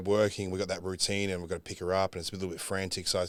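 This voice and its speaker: A man with an Australian accent talks at a very fast pace in a fairly low voice. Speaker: bodybuilder. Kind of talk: casual chat. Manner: casual, swearing, filler-heavy.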